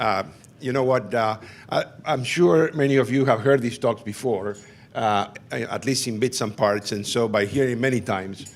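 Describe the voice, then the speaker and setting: Speaking at a medium pitch with a non-native accent, a man uses ordinary pitch variation. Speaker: physician and HIV researcher, professor. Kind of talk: conference talk.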